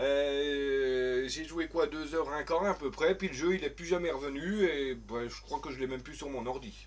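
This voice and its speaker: A man's fairly high voice in a strong Vosges accent, at a fairly slow pace, with ordinary pitch variation and big swings in loudness. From France, Vosges. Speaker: gaming streamer. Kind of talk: live stream gameplay chat. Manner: hesitant, many fillers.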